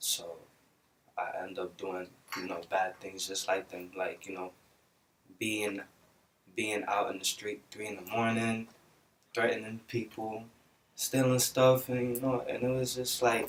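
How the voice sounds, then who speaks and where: With a Belizean accent, a man at medium pitch talks at a fairly slow pace with long, frequent pauses, fairly even intonation and big swings in loudness. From Brooklyn, New York City. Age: young. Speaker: musician. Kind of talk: interview.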